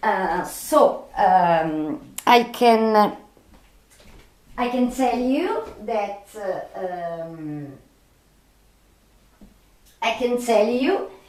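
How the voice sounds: A woman with a medium pitch and a slightly mellow tone talks at a very slow pace with lively intonation, long and frequent pauses, and strong room echo.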